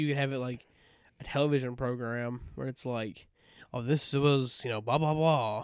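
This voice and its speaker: A man with a Southern US accent at medium pitch, moderate pace and fairly even intonation, with big swings in loudness. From US South. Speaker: podcast co-host. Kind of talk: casual chat.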